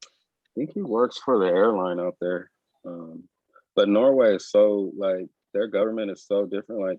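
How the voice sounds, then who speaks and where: An ordinary speaking voice with an American accent, moderate pace, ordinary pitch variation and big swings in loudness. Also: man, fairly low pitch for a man. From United States. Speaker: podcast co-host. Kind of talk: casual chat.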